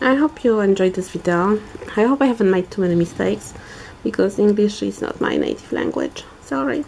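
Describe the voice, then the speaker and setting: With a Polish accent, a woman at medium pitch talks at a fairly quick pace and makes very wide pitch swings over noticeable background noise. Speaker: polymer clay crafter. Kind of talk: tutorial. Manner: halting.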